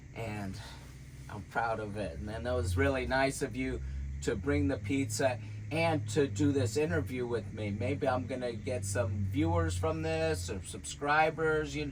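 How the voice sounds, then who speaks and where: Speaking at a fairly slow pace, a man with a fairly low pitch makes very wide pitch swings, and the room echo is audible. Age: 60s. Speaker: vlogger. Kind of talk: casual chat. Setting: in a van.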